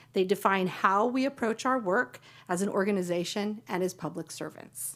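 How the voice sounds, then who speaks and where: A normal speaking voice from a woman at a medium pitch, with ordinary pitch variation, a moderate pace, and a very clean recording with a silent background. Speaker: county staff presenter. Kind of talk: presentation to county board. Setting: public board meeting.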